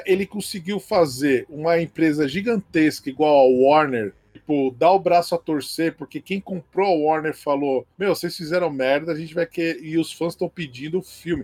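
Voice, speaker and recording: In a plain, everyday voice, a man talks at a moderate pace with ordinary pitch variation and hardly any pauses. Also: fairly high pitch for a man. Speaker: comic book expert and drawing teacher. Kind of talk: casual chat.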